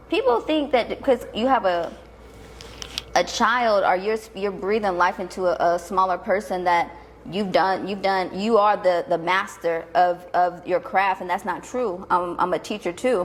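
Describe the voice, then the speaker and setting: Over noticeable background noise, a woman speaks at a medium pitch and a fairly slow pace with ordinary pitch variation. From Tennessee, US South. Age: 30s. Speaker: entrepreneur. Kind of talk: interview conversation. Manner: casual.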